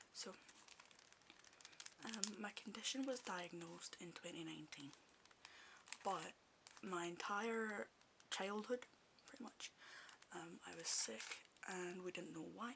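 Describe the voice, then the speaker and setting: Someone speaks with a Scottish accent at a fairly slow pace. Long, frequent pauses break up the delivery. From Scotland. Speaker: ASMR creator. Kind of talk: ASMR casual chat. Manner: halting, with pauses and stutters; soft-spoken.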